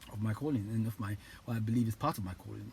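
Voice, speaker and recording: This man talks very fast in a fairly low voice. His tone is dark and mellow, and somewhat breathy. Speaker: motivational YouTuber. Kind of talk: motivational talk to camera. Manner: halting, many repetitions.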